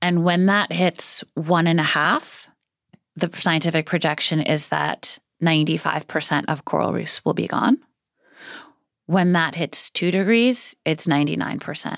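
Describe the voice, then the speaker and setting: A woman with an American accent speaks at a fairly slow pace, her voice fairly low in pitch with ordinary pitch variation and some vocal fry. The recording is very clean with a silent background, and the sound is dry and close with no echo. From US Northeast, Brooklyn New York. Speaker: marine biologist and policy expert. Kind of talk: interview conversation. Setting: studio.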